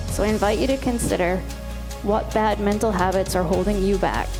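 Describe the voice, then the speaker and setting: With music in the background, the speaker keeps a very even loudness at a fairly quick pace. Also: woman. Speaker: psychotherapist and keynote speaker. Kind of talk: keynote speech.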